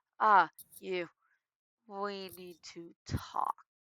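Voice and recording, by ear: Putting on a character voice, a woman speaks at a medium pitch with monotone, flat intonation.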